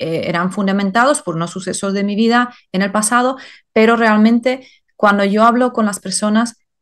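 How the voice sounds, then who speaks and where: A woman speaks with a non-native accent at a fairly high pitch. The background is quiet. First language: not Spanish (speaking Spanish). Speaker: life purpose coach and author. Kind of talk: interview. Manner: hesitant with many fillers.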